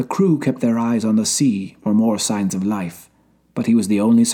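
What's heard here is plain reading aloud.

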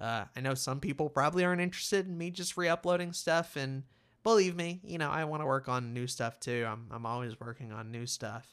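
This man has an unremarkable speaking voice. He talks at a fairly quick pace with lively intonation. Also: fairly high pitch for a man. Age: 20s. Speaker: podcaster. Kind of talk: solo monologue podcast. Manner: casual, conversational.

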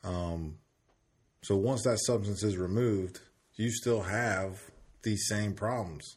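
A man talks at a very slow pace, stopping for long, frequent pauses. His fairly low voice sounds somewhat breathy. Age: 30s. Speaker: recovering addict sharing his story. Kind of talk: casual interview.

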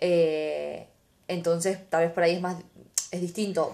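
A woman talks fairly slowly, her pitch sitting in the middle range. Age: 20s. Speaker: podcast host. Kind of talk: casual chat.

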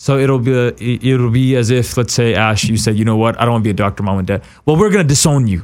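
Very fast and with hardly any pauses, a man talks at a medium pitch with ordinary pitch variation and very even loudness. The recording is very clean, with a silent background. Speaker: talk show host. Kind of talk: casual interview. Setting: studio. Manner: animated.

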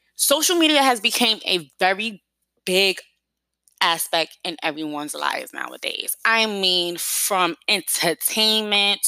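Speaking with a New York accent, a woman uses a bright, sharp tone at medium pitch and a fairly slow pace. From New York City. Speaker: podcast host. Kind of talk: casual solo podcast talk.

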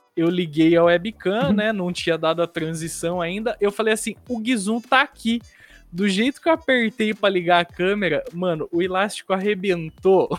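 A man speaks with a high-pitched voice. Music plays in the background. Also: ordinary pitch variation, moderate pace. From interior of São Paulo state, Brazil. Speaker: designer and game streamer. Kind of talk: casual chat.

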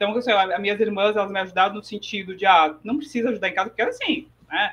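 An unremarkable speaking voice with ordinary pitch variation. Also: woman. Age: 40s. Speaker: economist and financial educator. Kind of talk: interview.

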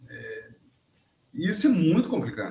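A man speaks with lively intonation. He sounds somewhat breathy. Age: 60s. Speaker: agronomy consultant and professor. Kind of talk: interview storytelling.

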